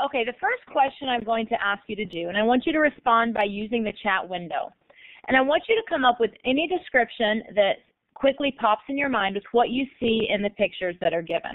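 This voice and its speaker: In an American accent, a plain, everyday voice moves at a fairly quick pace with lively intonation. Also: woman, fairly high pitch for a woman. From United States. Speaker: learning technology coordinator and consultant. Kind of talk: online guest presentation / webinar.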